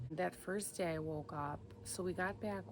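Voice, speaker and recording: A woman's very deep, low voice with vocal fry at a very slow pace, set in audible room echo. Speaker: lifestyle vlogger, mom. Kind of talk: casual vlog chat. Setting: outdoors in backyard.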